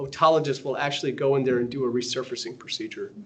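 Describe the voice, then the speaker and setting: Talking at a very fast pace, a man with an American accent sounds somewhat breathy, and audible room echo surrounds his voice. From US South. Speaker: radiology professor. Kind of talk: lecture.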